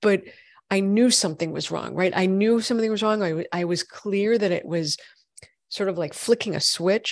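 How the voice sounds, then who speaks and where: A woman speaks in a normal speaking voice at medium pitch. Her pace is moderate and her intonation fairly even. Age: 40s. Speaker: functional medicine gynecologist. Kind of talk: interview.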